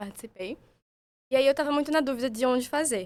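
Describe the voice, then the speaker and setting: A plain, everyday voice from a woman, fairly quick, with ordinary pitch variation. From Sergipe, Brazil. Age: 20s. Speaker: psychiatry resident. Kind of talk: casual podcast chat.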